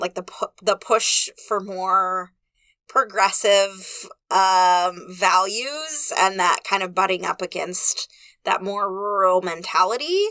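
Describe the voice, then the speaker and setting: Loud and very slow, a woman talks at a medium pitch with a bright, sharp tone in a dry, close recording with no echo. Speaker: podcast co-host, librarian. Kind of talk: casual chat. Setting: recording booth.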